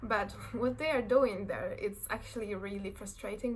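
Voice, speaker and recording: The speaker is a woman. She talks with a Polish accent. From Poland. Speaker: fashion design graduate. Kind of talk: casual talk to camera. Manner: nervous, hesitant.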